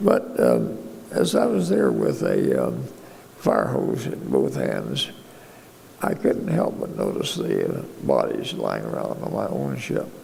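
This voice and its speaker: A man speaks at a fairly slow pace over noticeable background noise. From United States. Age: 80s+. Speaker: war veteran. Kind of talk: interview answer.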